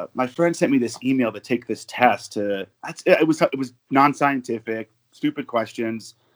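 An unremarkable speaking voice from a man with an American accent, medium in pitch with ordinary pitch variation, at a moderate pace, with a dry, close sound with no echo and a very clean recording with a silent background. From Arizona, US. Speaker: football fan, hospital worker. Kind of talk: casual interview.

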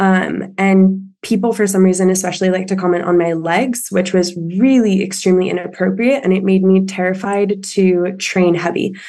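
Over noticeable background noise, a woman talks at a moderate pace and medium pitch with fairly even intonation, very even loudness and hardly any pauses. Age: 20s. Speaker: listener caller, gym-goer. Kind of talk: casual Q&A conversation. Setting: video call.

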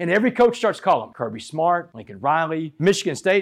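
An animated man with a high pitch and a Texan accent, on a very clean recording with a silent background. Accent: Texan Southern US. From Southeast Texas (Port Arthur). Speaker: motivational speaker. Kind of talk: motivational speech. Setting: stage with audience.

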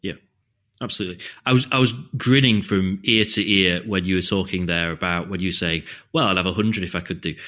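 On a very clean recording with a silent background, a man with a British accent talks very fast in a very deep, low pitch, his tone bright and sharp and his pitch variation ordinary. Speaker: podcast host. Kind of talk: casual interview chat.

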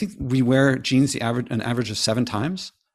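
Over a silent background in a very clean recording, a man speaks in a normal speaking voice at a medium pitch with fairly even intonation. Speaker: author and sustainability advocate. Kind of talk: interview.

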